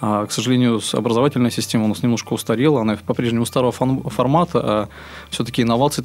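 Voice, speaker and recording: Someone talks at a very fast pace with fairly even intonation over noticeable background noise. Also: man. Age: 30s. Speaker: chef and restaurant business owner. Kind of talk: interview.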